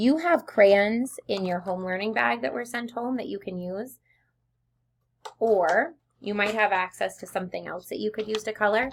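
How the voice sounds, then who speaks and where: At a moderate pace, a woman with an unremarkable speaking voice talks in a fairly high pitch with ordinary pitch variation. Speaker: elementary school teacher. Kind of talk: tutorial.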